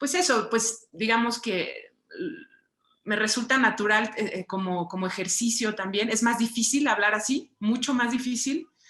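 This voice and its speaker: A woman with a Mexican accent speaks at a moderate pace, her fairly high voice making very wide pitch swings. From Mexico. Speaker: writer and visual artist. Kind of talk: book club conversation. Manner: hesitant, many fillers.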